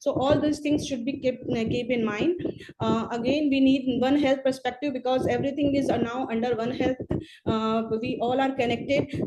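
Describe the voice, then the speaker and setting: A woman with a high pitch talks with fairly even intonation as noticeable background noise plays behind her. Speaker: public health expert. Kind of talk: webinar presentation. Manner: halting, many fillers; hurried.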